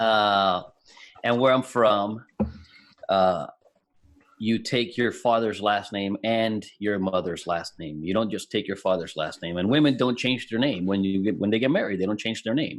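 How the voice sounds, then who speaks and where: A man with a slight Puerto Rican accent speaks at a fairly low pitch and a moderate pace, with ordinary pitch variation. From Puerto Rico. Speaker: IT business owner. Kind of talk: casual chat.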